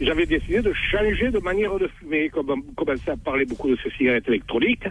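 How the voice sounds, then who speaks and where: Over noticeable background noise, a man talks at a very fast pace in a high voice with very wide pitch swings and very even loudness. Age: 60s. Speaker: caller. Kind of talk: radio call-in testimony.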